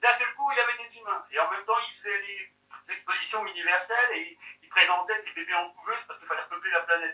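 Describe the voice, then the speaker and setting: Using a raised, projected voice, a man talks at a very fast pace with a high pitch and big swings in loudness. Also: ordinary pitch variation. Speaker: eyewitness of a UFO. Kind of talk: interview testimony. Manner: casual, halting. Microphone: poor audio in this testimony.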